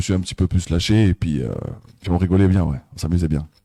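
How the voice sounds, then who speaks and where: Dark, mellow tone from a man speaking at a fairly quick pace with ordinary pitch variation. The recording is very clean, with a silent background and a dry, close sound with no echo. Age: 30s. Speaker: comedian. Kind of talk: interview. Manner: hesitant.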